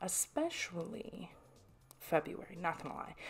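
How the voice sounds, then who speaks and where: A soft-spoken woman's voice of medium pitch. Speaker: artist and craft channel creator. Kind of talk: casual voiceover over drawing footage. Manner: rambling with frequent restarts.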